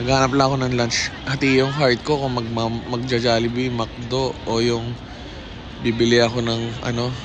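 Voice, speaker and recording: A man's medium-pitched, monotone, flat delivery at a moderate pace, with audible room echo and noticeable background noise. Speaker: travel vlogger. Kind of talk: casual vlog monologue. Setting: outdoors, walking in city.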